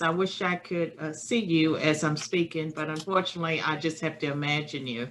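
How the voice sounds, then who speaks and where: A woman with a Virginia accent speaks at a fairly low pitch. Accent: Southern US (Virginia). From rural Virginia, US. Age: 60s. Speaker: political science professor. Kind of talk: remote lecture. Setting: webinar.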